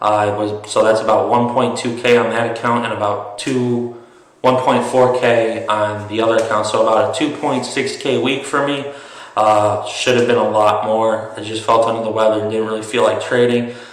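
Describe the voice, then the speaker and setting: Speech comes at a moderate pace with monotone, flat intonation. Room echo and background noise are both noticeable. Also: man. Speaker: day trader and investing youtuber. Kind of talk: tutorial. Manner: halting, many fillers.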